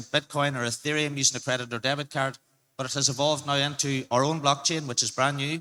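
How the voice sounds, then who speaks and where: In an Irish accent, a man with a fairly high pitch and a bright, sharp tone speaks in a monotone, flat intonation. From Ireland. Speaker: crypto marketing advisor. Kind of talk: panel discussion. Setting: stage with audience.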